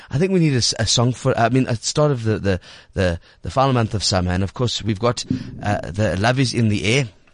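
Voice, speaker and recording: Against a quiet background, a man with an ordinary speaking voice talks fairly quickly at a medium pitch, with lively intonation and very even loudness. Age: 30s. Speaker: radio host. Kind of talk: casual chat. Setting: studio.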